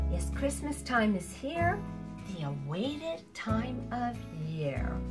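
A woman's voice with clear music in the background. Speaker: amateur poet. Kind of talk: poetry reading. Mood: warm, expressive. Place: home room. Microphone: camera far.

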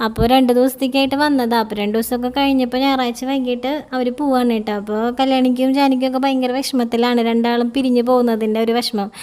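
Noticeable background noise beneath a monotone, flat intonation. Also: woman, high pitch for a woman. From Kerala, village near Chelur. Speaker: mom vlogger. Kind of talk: vlog narration.

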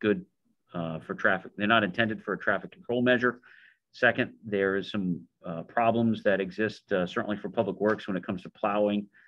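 In a quiet background, a man speaks at a fairly quick pace. His pitch is fairly low. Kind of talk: meeting discussion, reading a letter aloud. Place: meeting room. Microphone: video call.

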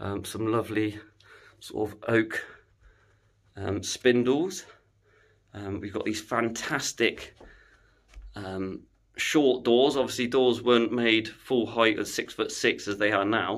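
A man speaking at a very slow pace with long, frequent pauses, ordinary pitch variation, and a quiet background. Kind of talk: walking tour commentary. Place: hall. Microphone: phone near.

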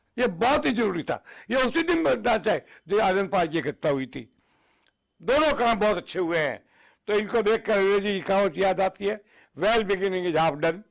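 A man with a high-pitched voice talks at a moderate pace with lively intonation. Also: quiet background. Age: 80s+. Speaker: veteran politician, former union minister; former minister, politician. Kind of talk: TV news interview. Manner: energetic, forceful. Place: home room. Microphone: handheld.

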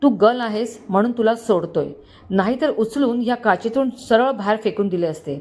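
The passage is plain reading aloud. Pitch variation is ordinary.

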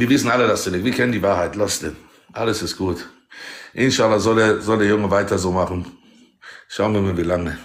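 Fairly quick in pace, a man talks. His pitch is fairly low. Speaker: TikTok live streamer. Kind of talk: casual live-stream chat. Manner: excitable. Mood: mocking, provocative. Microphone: phone near.

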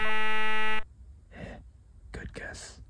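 Whispering, the speaker goes at a very slow pace. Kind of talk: ASMR scary story narration, acted as a companion whispering to the listener. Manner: whispered, hushed.

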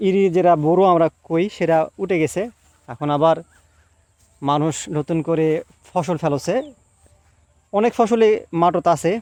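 The recording has a dry, close sound with no echo. Pitch variation is ordinary. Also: man, high pitch for a man. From Bangladesh, Naogaon district (Badalgachhi). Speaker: video blogger. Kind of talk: casual walking vlog tour. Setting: outdoors in farm fields.

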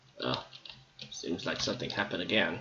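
His pitch is low and his tone bright and sharp, with lively intonation. The man is heard with audible room echo. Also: moderate pace.

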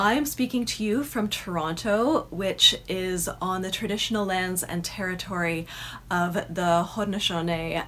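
A woman's fairly low voice at a moderate pace, with ordinary pitch variation and light background noise. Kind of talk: welcome address. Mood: warm and upbeat. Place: home room. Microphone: phone near.

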